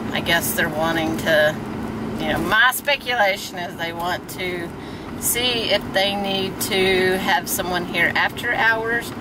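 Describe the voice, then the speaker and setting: Loud background noise surrounds a woman speaking at a fairly slow pace with ordinary pitch variation. Her voice sounds dry, with no echo. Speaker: park host. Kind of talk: casual vlog chat. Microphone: phone near.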